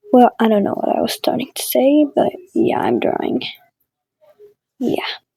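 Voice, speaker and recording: The speaker talks at a moderate pace. A non-native accent is present. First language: not English. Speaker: digital artist, content creator. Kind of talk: drawing commentary. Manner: casual, hesitant with fillers.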